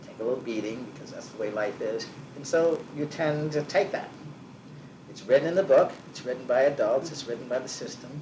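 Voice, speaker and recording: A fairly quick, fairly high-pitched man's voice with an American accent, ordinary pitch variation, big swings in loudness and noticeable background noise. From US Northeast. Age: 60s. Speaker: business owner. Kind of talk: oral history interview. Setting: at home.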